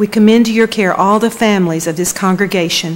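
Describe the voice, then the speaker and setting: At a moderate pace, a woman talks. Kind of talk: prayer. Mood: solemn, measured. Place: church. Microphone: podium.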